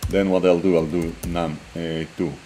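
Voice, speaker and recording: Noticeable background noise under a man's very deep, low voice at a moderate speed. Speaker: programming tutor. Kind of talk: tutorial. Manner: hesitant, many fillers.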